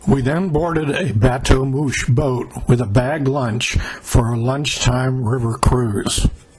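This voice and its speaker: A man's medium-pitched voice at a very slow pace, ordinary pitch variation, hardly any pauses, and noticeable background noise. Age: 80s+. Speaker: travel vlogger narrating trip video. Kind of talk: scripted narration. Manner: measured, read-aloud pace.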